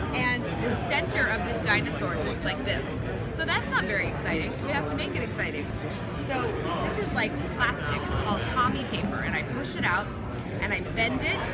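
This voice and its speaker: Clear music plays in the background. Over it, a woman talks at a fairly quick pace. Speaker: presenter. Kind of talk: product demonstration. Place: hall. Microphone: phone near.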